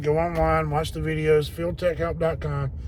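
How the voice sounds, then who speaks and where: A man's voice echoes audibly off the room. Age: 50s. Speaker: HVAC technician. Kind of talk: casual vlog talk to viewers.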